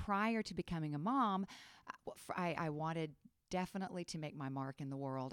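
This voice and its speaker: On a very clean recording with a silent background, a woman with an ordinary speaking voice talks at a fairly low pitch with lively intonation. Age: 50s. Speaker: theater and history teacher. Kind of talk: testimony.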